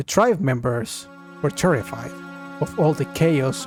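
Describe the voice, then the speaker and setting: Music plays in the background. A man speaks at medium pitch and a fairly slow pace. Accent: non-native. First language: not English. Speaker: video game theorist. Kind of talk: video essay narration. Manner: at times hesitant, hard to understand.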